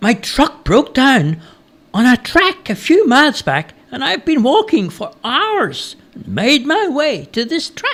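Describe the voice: A man puts on a character voice at an extremely high pitch with very wide pitch swings. His tone is fairly bright, and his pace is slow.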